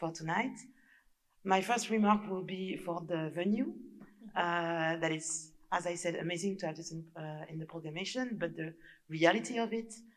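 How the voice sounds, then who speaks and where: A woman's fairly low voice with fairly even intonation, moderate in pace, with audible room echo. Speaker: audience member. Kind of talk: audience question. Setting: lecture hall with audience. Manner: halting, many fillers.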